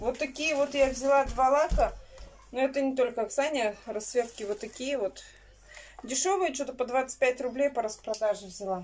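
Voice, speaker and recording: A woman with a high-pitched voice speaks at a moderate pace, with ordinary pitch variation. Light background noise can be heard. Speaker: vlogger. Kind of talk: casual vlog chat. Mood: relieved, calm.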